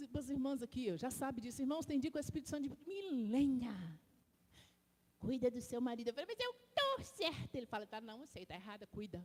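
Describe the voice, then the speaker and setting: A woman speaks with a high pitch and lively intonation. Noticeable background noise is present. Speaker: deaconess preaching in church. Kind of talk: sermon. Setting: church. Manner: animated; slow, deliberate.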